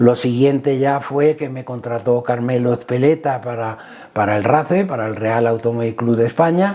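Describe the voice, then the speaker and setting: A man speaks at a medium pitch with ordinary pitch variation. He keeps a moderate pace against noticeable background noise. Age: 60s. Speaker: motorsport team manager. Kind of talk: interview. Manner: hesitant, with fillers.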